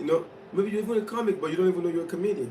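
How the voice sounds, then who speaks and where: With a strong non-native accent, a man speaks in an animated tone. The room echo is audible. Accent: thick foreign. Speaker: motivational speaker. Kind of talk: motivational livestream talk.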